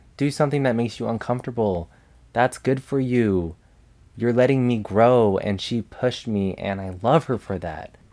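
A man with an American accent speaks at a medium pitch and moderate pace, in a dark, mellow tone with ordinary pitch variation. The recording is very clean, with a silent background. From Las Vegas, Nevada. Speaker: podcast host. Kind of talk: solo monologue podcast. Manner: casual, animated.

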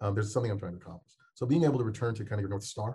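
Somewhat breathy, a man speaks at a fairly low pitch with a dark, mellow tone and fairly even intonation. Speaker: researcher. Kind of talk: interview answer.

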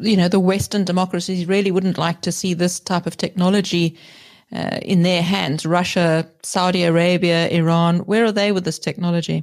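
On a very clean recording with a silent background, a woman with a plain, everyday voice speaks at medium pitch and a fairly quick pace with fairly even intonation. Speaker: podcast host. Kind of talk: interview.

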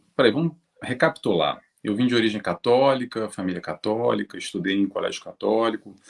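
With a Brazilian accent, a man speaks fairly quickly at medium pitch with ordinary pitch variation, in a dry, close sound with no echo. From Brazil, Rio de Janeiro. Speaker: spiritist speaker on psychology. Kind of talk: interview.

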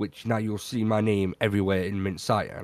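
In a very clean recording with a silent background, a man with a British accent sounds dry and close, with no echo. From Britain. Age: 20s. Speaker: podcast co-host and streamer. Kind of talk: casual chat.

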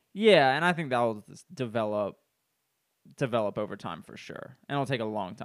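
An ordinary speaking voice at a moderate pace carries lively intonation and big swings in loudness. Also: man, medium pitch for a man. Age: 20s. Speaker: podcast co-host. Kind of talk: casual chat.

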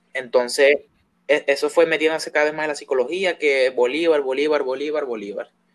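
A man with an unremarkable speaking voice, fairly high in pitch, talks at a fairly quick pace with fairly even intonation and big swings in loudness. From Venezuela. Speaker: guest. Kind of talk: casual chat.

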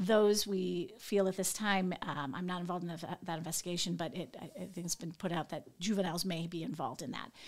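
A woman with an American accent talks at a fairly quick pace in an ordinary speaking voice, fairly low in pitch, with fairly even intonation and hardly any pauses. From Northwest Indiana. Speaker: FBI agent. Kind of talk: interview.

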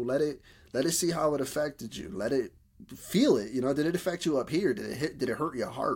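Recorded very cleanly against a silent background, a man with a northeastern US accent talks at a fairly quick pace with ordinary pitch variation. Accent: urban northeastern US. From Bridgeport, Connecticut. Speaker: podcast host. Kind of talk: casual conversation.

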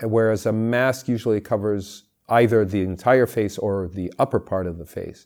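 A man speaks at a moderate pace in a medium pitch with ordinary pitch variation. The recording is very clean, with a silent background. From California, US. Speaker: mask maker and actor. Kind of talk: interview.

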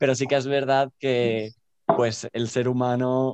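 A man's medium-pitched, flat monotone at a fairly slow pace. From Spain, Barcelona. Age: 20s. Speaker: dancer. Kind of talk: casual chat.

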